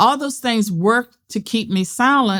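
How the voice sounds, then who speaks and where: Lively intonation from a woman on a very clean recording with a silent background. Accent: Southern US. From US South. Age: 70s. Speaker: political scientist and author. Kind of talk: interview conversation. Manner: direct.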